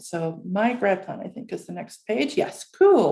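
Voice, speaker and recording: The woman's voice is somewhat breathy. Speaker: academic advisor. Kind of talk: orientation presentation. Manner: fast; hesitant, many fillers.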